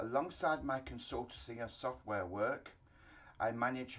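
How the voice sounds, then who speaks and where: Here is a man talking. He speaks with a British accent. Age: 60s. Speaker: HVAC engineering consultant. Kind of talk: promotional self-introduction. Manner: formal.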